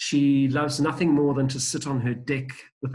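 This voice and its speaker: This man's voice comes across as somewhat breathy. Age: 60s. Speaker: safari travel expert. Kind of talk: podcast interview.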